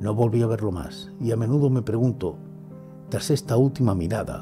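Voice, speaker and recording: Clear music plays in the background as a man talks at a moderate pace with lively intonation. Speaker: ASMR storyteller / narrator. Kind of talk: horror story reading, ASMR. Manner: whispering, soft.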